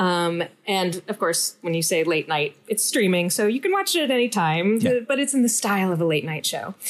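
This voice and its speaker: Using an unremarkable speaking voice, a woman talks at a moderate pace and medium pitch with lively intonation, very even loudness and hardly any pauses. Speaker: comedian. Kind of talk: casual chat.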